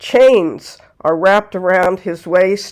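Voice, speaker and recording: Mid-range female speech, extremely slow, with pitch rising and falling in a usual way. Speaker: folklore channel host. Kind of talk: folklore narration to camera.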